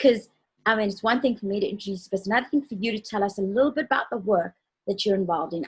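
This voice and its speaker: A woman's voice comes through somewhat breathy. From South Africa. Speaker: talk show co-host. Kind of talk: interview show introduction.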